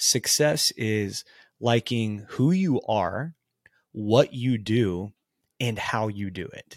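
A man with a Texan accent at a medium pitch, very slow pace and big swings in loudness, in a dry, close, echo-free, very clean recording with a silent background. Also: ordinary pitch variation. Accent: Texan American. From Texas, small town. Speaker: life coach and consultant. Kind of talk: casual chat.

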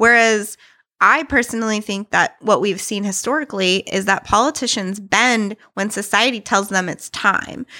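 On a very clean recording with a silent background and a dry, close sound with no echo, a woman speaks at a moderate pace with a fairly high pitch, a bright, sharp tone and ordinary pitch variation. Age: 30s. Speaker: musician and interfaith community worker. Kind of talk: casual chat.

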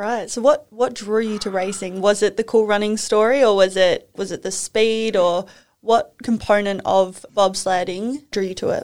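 With an Australian accent and fairly even intonation, a woman talks with hardly any pauses. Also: medium pitch for a woman, moderate pace. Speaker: podcast host, former figure skater. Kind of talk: interview.

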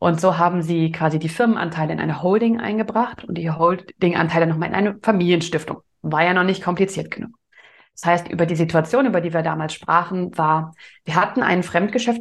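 In a normal speaking voice, a woman with a fairly low pitch talks at a fairly quick pace with ordinary pitch variation against a quiet background. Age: 20s. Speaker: business owner. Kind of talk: interview.

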